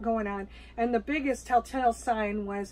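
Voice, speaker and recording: A woman speaks with fairly even intonation. Light background noise is present. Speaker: RV travel vlogger. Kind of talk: casual vlog chat. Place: home room.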